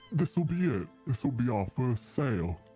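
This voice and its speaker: A put-on character voice from a man at medium pitch, moderate pace, with clear music in the background. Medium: actual play. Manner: friendly, folksy.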